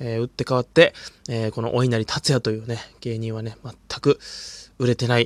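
Speaking fairly quickly but with long, frequent pauses, a man holds a medium pitch and monotone, flat intonation in a dry, close sound with no echo. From Hokkaido, Japan. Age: 20s. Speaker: comedian. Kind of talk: solo podcast monologue. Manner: frequent filler hesitations; calm.

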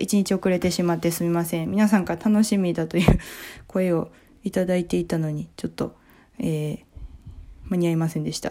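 A woman's dark, mellow, fairly low voice at a fairly quick pace, with fairly even intonation. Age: 20s. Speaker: comedian and podcast host. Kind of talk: casual book review monologue.

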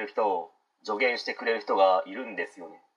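A man at a fairly quick pace. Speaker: podcast host. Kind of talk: solo talk monologue.

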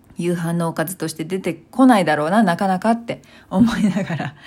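A woman talks at a moderate pace with lively intonation. She has a plain, everyday voice. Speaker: solo podcaster. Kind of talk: casual monologue.

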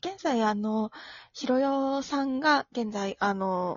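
A woman speaks with a somewhat breathy voice. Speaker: podcast host, magazine editorial staff. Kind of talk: casual chat. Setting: home, remote recording.

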